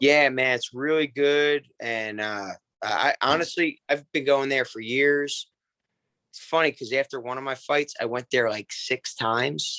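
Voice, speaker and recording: A man with a Philadelphia accent, fairly high in pitch, at a fairly slow pace. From Philadelphia area (Bensalem/Bristol, Pennsylvania). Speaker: MMA fighter. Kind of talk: casual chat. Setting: podcast.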